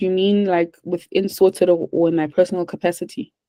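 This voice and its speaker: A woman's calm, dark, mellow voice at a medium pitch and moderate pace, dry and close with no echo. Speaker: webinar presenter, virtual assistant agency. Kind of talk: webinar Q&A.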